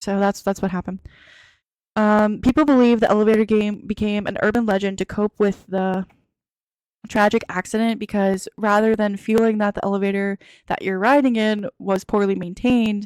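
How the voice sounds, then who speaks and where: Recorded dry and close with no echo, a woman speaks at a medium pitch in a monotone, flat intonation. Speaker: podcast host. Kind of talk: casual chat. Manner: fast.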